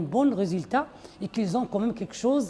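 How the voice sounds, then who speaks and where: A woman's voice comes through somewhat breathy, with a dark, mellow tone. Her intonation is lively. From Belgium (Liège), Moroccan family. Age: 60s. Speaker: restaurant owner. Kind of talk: interview testimony. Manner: halting.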